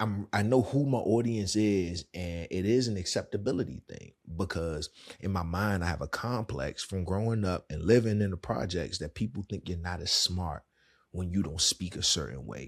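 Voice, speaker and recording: A man speaks with a Washington DC accent and a very deep, low pitch. The recording is very clean, with a silent background. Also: ordinary pitch variation, moderate pace. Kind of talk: casual, conversational.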